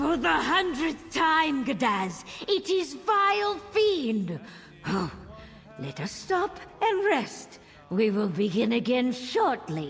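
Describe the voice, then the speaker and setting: In a put-on character voice, a high, female-sounding voice crawls along at a very slow pace with very wide pitch swings over clear background noise. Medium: video game. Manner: pompous, theatrical.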